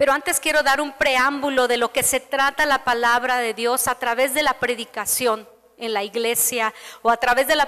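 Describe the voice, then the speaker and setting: Noticeable background noise beneath a woman's high voice. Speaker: pastor. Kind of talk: sermon.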